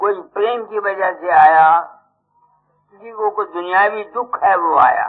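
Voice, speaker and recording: With big swings in loudness, a man speaks at a high pitch with ordinary pitch variation. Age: 80s+. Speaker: spiritual teacher. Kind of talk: sermon. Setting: satsang gathering with audience.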